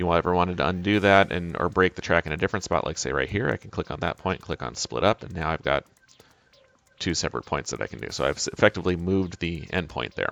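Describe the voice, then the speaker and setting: Mumbling at a very fast pace, a man with a very deep, low pitch and ordinary pitch variation sounds dry and close with no echo. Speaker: software tutorial presenter. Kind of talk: live tutorial. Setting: live webinar. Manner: mumbling to himself.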